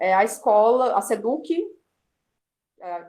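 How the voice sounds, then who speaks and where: A woman is speaking. She has a Brazilian accent. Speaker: student presenter. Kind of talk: class review presentation. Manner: hesitant, many fillers.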